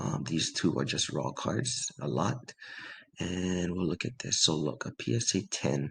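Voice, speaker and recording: A man speaks quietly in a very deep, low, raspy voice with vocal fry and very wide pitch swings. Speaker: sports card collector. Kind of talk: casual talk to camera.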